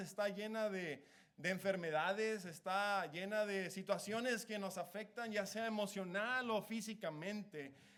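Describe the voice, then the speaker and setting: Audible room echo surrounds a man speaking at a high pitch. He talks at a fairly slow pace. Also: hardly any pauses. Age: 30s. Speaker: preacher. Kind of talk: sermon. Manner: halting.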